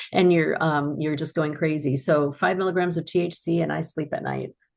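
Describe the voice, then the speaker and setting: A woman with vocal fry speaks with fairly even intonation. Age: 60s. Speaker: pharmacist. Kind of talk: interview. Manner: casual, many fillers.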